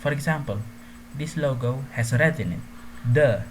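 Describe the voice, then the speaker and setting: A non-native accent over noticeable background noise. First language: not English. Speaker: gaming tutorial youtuber. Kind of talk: tutorial. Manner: casual, hesitant with fillers.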